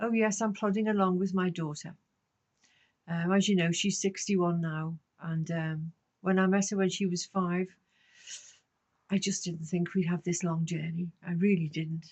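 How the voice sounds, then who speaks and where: Pausing long and often, a woman speaks in a somewhat breathy voice with fairly even intonation. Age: 70s. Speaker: vlogger on life in old age. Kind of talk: casual monologue to camera. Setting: garden shed. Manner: conversational, with hesitations.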